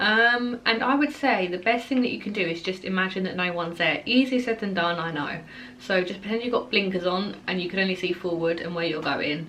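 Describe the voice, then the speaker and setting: Speaking in an Essex accent at a fairly quick pace with hardly any pauses, a woman sounds animated, with a medium pitch and ordinary pitch variation, amid noticeable background noise and audible room echo. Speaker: equestrian vlogger. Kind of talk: casual Q&A vlog. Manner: animated, chatty with fillers.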